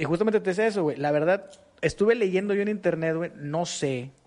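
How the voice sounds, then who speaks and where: Against a quiet background, a man talks fairly quickly. His pitch variation is ordinary. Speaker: podcast co-host. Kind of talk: casual chat.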